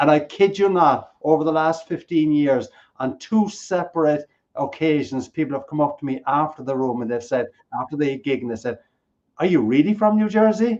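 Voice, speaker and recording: With an Irish accent, a man speaks at a moderate pace, his fairly high pitch carrying lively intonation. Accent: Irish brogue, lilting. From Ireland. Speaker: keynote speaker. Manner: jokey, storytelling.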